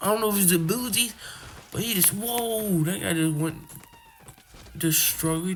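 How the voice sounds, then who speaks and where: Music plays in the background as the speech moves at a moderate pace. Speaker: gaming youtuber. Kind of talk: gameplay commentary. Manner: animated.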